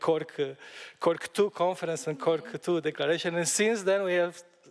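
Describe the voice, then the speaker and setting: A man speaks with a Romanian accent and ordinary pitch variation. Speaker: EU Commission official. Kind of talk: panel discussion. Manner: halting, many fillers.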